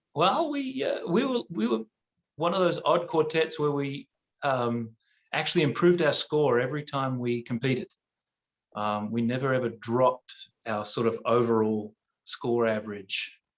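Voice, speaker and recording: A man with an Australian accent, medium pitch and ordinary pitch variation, at a moderate pace with long, frequent pauses. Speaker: barbershop quartet singer. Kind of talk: casual chat. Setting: video call.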